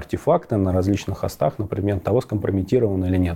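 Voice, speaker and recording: A man talks at a very fast pace with a fairly low pitch. His tone is dark and mellow, with ordinary pitch variation. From Rostov-on-Don, southern Russia. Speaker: cybersecurity expert. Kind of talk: interview. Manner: halting.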